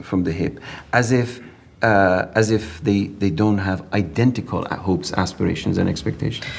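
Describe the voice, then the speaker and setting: At a moderate pace, a man speaks with an Iranian accent. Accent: Iranian (Persian) English. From southern Iran. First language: Persian. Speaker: professor of comparative literature. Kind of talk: interview conversation.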